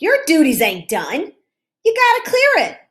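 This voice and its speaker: Shouting in a put-on character voice, a woman goes extremely high in pitch with very wide pitch swings at a moderate pace. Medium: read story. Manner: shouting, bossy.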